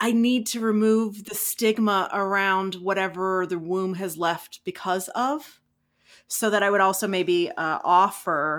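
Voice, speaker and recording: A woman with an American accent and an unremarkable speaking voice talks at medium pitch and a fairly slow pace. Her pitch variation is ordinary, in a very clean recording with a silent background. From US South. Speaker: podcast host. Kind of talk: guided meditation; casual chat.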